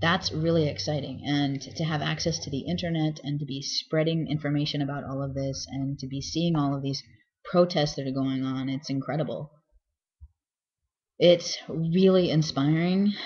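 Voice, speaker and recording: With fairly even intonation, a man talks in a somewhat breathy voice. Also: moderate pace. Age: 30s. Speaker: vlogger. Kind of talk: casual video diary. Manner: hesitant, many fillers.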